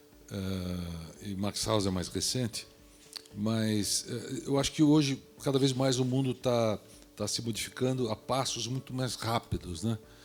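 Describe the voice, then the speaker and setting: With music in the background, a man talks at a fairly slow pace in a medium pitch with ordinary pitch variation. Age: 60s. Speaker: real estate developer. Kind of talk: panel discussion. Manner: halting.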